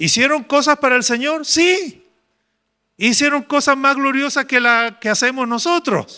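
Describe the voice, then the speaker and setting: Over a very clean recording with a silent background, a man uses a raised, projected voice at an extremely high pitch, with a bright, sharp tone, very even loudness and a fairly slow pace. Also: ordinary pitch variation. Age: 70s. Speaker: pastor. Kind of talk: sermon. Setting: church retreat with congregation.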